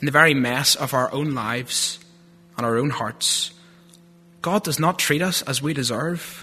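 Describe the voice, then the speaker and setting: A man with a strong Northern Irish accent, fairly high in pitch with ordinary pitch variation, at a moderate pace with long, frequent pauses. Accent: Northern Irish, thick. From Northern Ireland (Lurgan). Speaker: theology student giving a sermon. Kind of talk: sermon. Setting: church.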